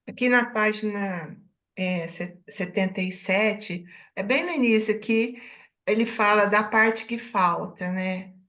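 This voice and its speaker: The voice has a bright, sharp tone and moves at a very slow pace. Room echo is audible. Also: woman, fairly high pitch for a woman, ordinary pitch variation. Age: 70s. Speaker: book club member. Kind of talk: book club discussion. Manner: halting.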